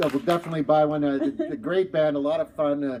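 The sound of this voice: A man talks at a fast pace with a fairly high pitch and a dark, mellow tone. His intonation stays fairly even.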